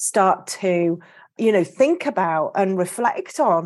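A woman with a British accent speaks with very wide pitch swings. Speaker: podcast host and artist. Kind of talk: casual interview chat. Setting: online call.

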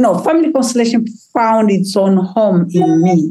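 A woman speaks at a moderate pace, her dark, mellow tone somewhat breathy. Her intonation is lively. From Tanzania, Kilimanjaro region. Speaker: healer and trauma therapist. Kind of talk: casual chat, community conversation. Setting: video call. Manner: animated, lively.

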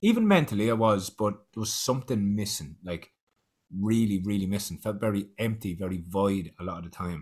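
A man with an Irish accent talks at a moderate pace in a fairly low pitch. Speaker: podcast host.

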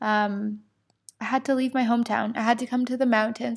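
A woman's fairly high, monotone, flat voice at a moderate pace, on a very clean recording with a silent background. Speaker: podcast host and spiritual coach. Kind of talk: casual solo chat. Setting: home, sitting in armchair.

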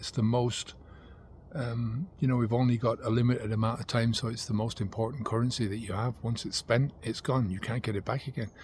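A somewhat breathy man at a fairly quick pace, with a medium pitch and fairly even intonation. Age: 50s. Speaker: sobriety coach. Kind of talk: monologue to camera. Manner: halting.

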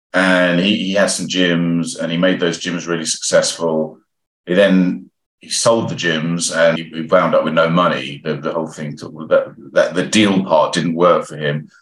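At a fairly slow pace, a man with a very deep, low pitch speaks with fairly even intonation and big swings in loudness. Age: 50s. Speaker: entrepreneur. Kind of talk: casual chat.

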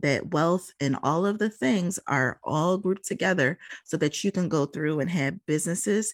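On a very clean recording with a silent background, a woman with a normal speaking voice talks at a moderate pace, her pitch fairly low with ordinary pitch variation. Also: dry, close sound with no echo. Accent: American. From Philadelphia, US. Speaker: real estate investment coach and podcast host. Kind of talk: casual personal storytelling.

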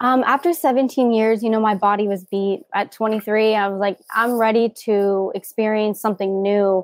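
In an American accent, a woman with an unremarkable speaking voice and fairly high pitch talks at a moderate pace with hardly any pauses and fairly even intonation, the sound dry and close with no echo. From Southern California. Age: 20s. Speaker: yoga instructor and mindset coach, former gymnast. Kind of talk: interview.

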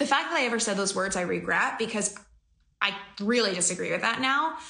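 A woman speaks at a fairly quick pace with lively intonation and an animated tone, her voice bright and sharp. Audible room echo surrounds her. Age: 20s. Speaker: business coach and podcast host. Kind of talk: live-stream Q&A. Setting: office.

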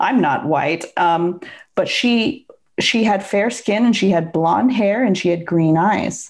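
In a quiet background, a woman with a Pacific Northwest accent speaks at a fairly slow pace with ordinary pitch variation. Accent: American (Pacific Northwest). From US Pacific Northwest (Seattle), also Bangkok. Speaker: divorce coach and entrepreneur. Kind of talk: interview.

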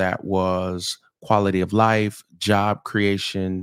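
The voice has an American accent. The recording is very clean, with a silent background and a dry, close sound with no echo. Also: man. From US South, St. Petersburg, Florida. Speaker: pastor. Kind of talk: casual chat. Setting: studio.

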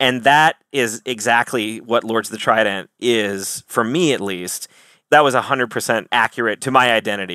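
At a moderate pace, a man talks at a medium pitch in a bright, sharp, animated tone with ordinary pitch variation, recorded very cleanly with a silent background and a dry, close sound with no echo. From Wisconsin, US. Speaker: metal band singer. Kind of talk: casual interview, humorous. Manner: animated, jokey.

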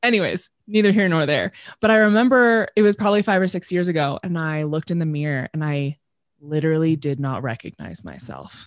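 Against a quiet background, a woman with a very deep, low pitch talks at a fairly quick pace with lively intonation, the sound dry and close with no echo. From Southern California. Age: 30s. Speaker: podcaster and coach. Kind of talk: casual interview.

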